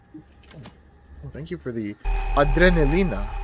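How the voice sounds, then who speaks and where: Music plays in the background as a man with an American accent speaks with lively intonation. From US, Peruvian family. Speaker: gaming streamer. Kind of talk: live gameplay commentary. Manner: animated.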